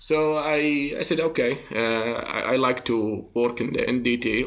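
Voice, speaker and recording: A man with an Arabic accent talks with fairly even intonation. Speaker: industrial inspection expert. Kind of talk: interview. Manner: halting, many fillers.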